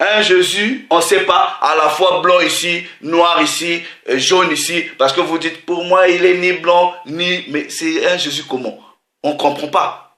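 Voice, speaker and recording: A man with a high voice speaks at a very slow pace, with audible room echo. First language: not French (speaking French). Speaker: religious preacher. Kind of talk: sermon.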